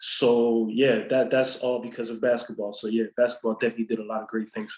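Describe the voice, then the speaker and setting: The speech is very fast, with monotone, flat intonation. Its loudness swings widely. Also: man, medium pitch for a man. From Montreal, Quebec. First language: French. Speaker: basketball player. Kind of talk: interview. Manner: halting, repetitive fillers.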